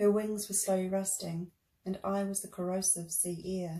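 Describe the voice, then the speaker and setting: A woman with a New Zealand accent speaks at a medium pitch. Her moderate-paced delivery is monotone and flat. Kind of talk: reading own memoir.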